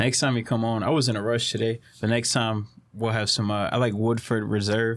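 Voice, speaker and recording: A man with an American accent, medium in pitch, fairly quick, with monotone, flat intonation and very even loudness. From Southeast Texas. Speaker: podcast host. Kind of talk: casual chat. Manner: casual, laid-back.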